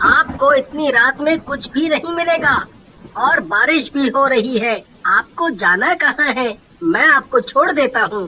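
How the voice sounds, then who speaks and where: A man puts on a character voice pitched extremely high, delivering his words at a fairly slow pace. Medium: read story.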